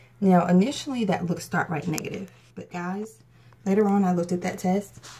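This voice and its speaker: The woman's pitch is fairly low and her intonation fairly even. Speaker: vlogger. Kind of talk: casual vlog talk. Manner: fast.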